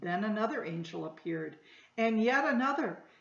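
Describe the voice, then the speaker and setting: Audible room echo surrounds a woman's voice. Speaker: storytime reader. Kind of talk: reading a children's story aloud. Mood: gentle, warm storytelling. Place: home room. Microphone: webcam.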